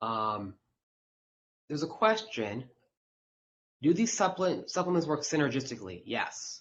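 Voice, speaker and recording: Loud and fairly high-pitched with vocal fry, a man talks at a moderate pace with very wide pitch swings and long, frequent pauses. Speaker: physician. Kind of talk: webinar Q&A. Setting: live webinar. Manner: halting, many fillers.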